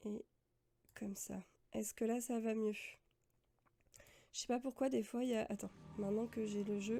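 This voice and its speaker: Monotone, flat intonation from a woman at a fairly high pitch, with long, frequent pauses and big swings in loudness. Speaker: gaming streamer. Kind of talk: live gameplay stream chat. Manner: casual, hesitant. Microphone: stream audio too quiet.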